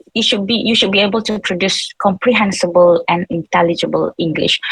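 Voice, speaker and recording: The sound is dry and close, with no echo. A woman with a medium pitch speaks at a fairly quick pace with ordinary pitch variation. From Malaysia. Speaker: seminar panelist, English educator. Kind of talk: online seminar talk. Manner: halting, many fillers.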